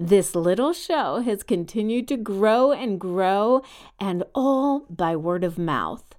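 With an American accent, a woman speaks very slowly at a medium pitch with lively intonation. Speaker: podcast host. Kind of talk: personal storytelling podcast. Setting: home.

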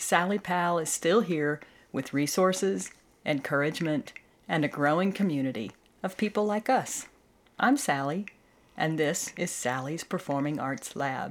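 On a very clean recording with a silent background, a woman with a very deep, low pitch speaks at a moderate pace with lively intonation. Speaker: podcast host. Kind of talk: solo monologue podcast.

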